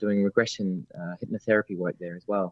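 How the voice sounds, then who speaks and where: Using a very fast pace, a man with an Australian accent speaks at a fairly low pitch with fairly even intonation. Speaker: spiritual medium and teacher. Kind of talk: casual interview chat. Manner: halting, many fillers. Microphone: line cutting out.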